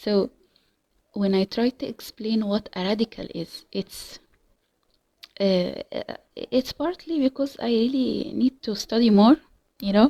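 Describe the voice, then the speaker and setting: With an Arabic accent, a woman speaks at a fairly high pitch in a dark, mellow tone, at a fairly slow pace with long, frequent pauses and ordinary pitch variation. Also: dry, close sound with no echo. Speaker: language learner vlogger. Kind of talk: casual monologue. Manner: halting, many fillers and repetitions.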